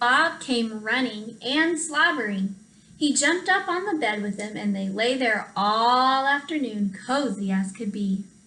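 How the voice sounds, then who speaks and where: In an unremarkable speaking voice, a woman with a fairly high pitch talks at a fairly slow pace with lively intonation. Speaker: first grade teacher. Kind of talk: storybook read-aloud narration. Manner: friendly, warm.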